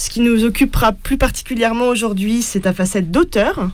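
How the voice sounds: At a fairly quick pace, a woman speaks with a fairly high pitch. Her pitch varies in an ordinary way. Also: slightly mellow tone.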